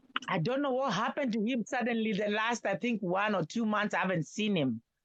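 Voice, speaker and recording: At a fairly quick pace, a woman uses a plain, everyday voice, fairly high in pitch, with ordinary pitch variation and very even loudness. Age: 60s. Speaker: caller on live stream. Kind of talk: casual chat.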